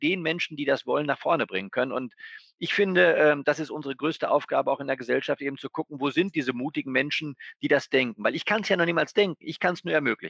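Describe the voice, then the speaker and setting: Delivery is very fast, and the sound is dry and close with no echo. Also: man. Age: 40s. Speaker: bank executive. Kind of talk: interview conversation.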